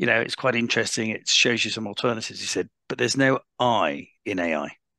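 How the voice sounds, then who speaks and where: Sounding dry and close with no echo, a man talks fairly quickly at a medium pitch in a bright, sharp tone with vocal fry and ordinary pitch variation. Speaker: panelist, business founder. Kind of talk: panel discussion. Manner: fast.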